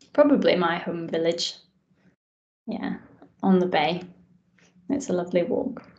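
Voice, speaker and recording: A woman's somewhat breathy, medium-pitched voice with lively intonation, a moderate pace, and long, frequent pauses. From Scotland, east coast near Edinburgh. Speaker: doctor. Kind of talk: casual interview chat.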